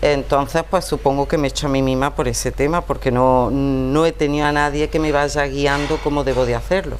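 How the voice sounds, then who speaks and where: A woman at a fairly quick pace, hardly any pauses, very even loudness, and noticeable background noise. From Andalusia, Montejícar (Granada). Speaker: writer. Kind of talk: interview.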